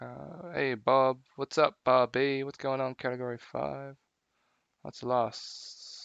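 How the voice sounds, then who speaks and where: A man at medium pitch speaks with an Australian accent. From Melbourne, Australia. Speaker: live streamer in virtual world. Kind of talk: casual live-stream chat.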